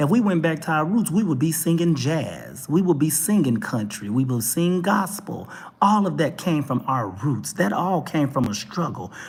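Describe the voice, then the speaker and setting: An animated tone in a Texas accent at a moderate pace. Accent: Texas twang. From Texas, Dallas. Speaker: talk show vlogger. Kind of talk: opinion rant monologue.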